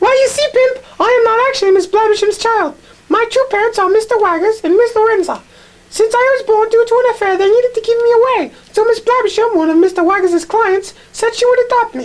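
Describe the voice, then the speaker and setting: Squeaky and extremely high-pitched, this put-on character voice moves at a fairly quick pace. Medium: read story. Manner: cruel.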